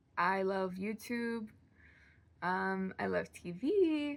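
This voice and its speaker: A woman is speaking. Her tone is animated. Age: 20s. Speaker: actor and new YouTuber. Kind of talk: casual vlog talk to camera. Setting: bedroom. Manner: animated, rambling with restarts.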